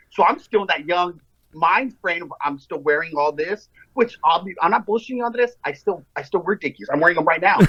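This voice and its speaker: A man's high, bright and sharp voice with an American accent, lively intonation and a fairly quick pace. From El Paso, Texas. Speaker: TikTok creator. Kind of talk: casual chat.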